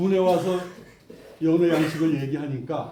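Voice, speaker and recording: Audible room echo surrounds a man whose fairly high pitch carries a dark, mellow tone. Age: 70s. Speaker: project committee chairman. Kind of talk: press conference statement. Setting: press conference.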